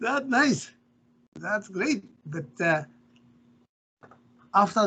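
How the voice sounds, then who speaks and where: Speaking at a very slow pace, this man has a Japanese accent. His pitch swings very widely. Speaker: professor. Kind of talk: interview. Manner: halting.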